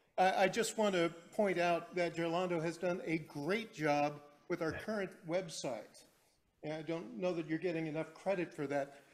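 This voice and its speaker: A loud, high-pitched male voice with fairly even intonation. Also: moderate pace. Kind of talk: meeting comment.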